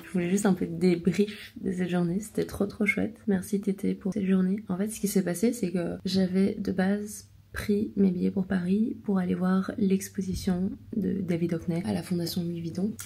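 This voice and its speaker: A woman's dark, mellow voice at a medium pitch, with vocal fry, fairly even intonation and a moderate pace. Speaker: watercolour artist and vlogger. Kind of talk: casual vlog talk. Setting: hotel room.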